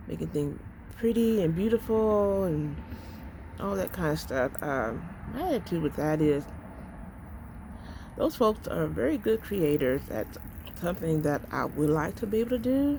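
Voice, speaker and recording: Noticeable background noise behind a woman's moderately paced speech, full of long, frequent pauses. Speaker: witchcraft vlogger. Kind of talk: casual vlog monologue. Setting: outdoors on porch. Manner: halting.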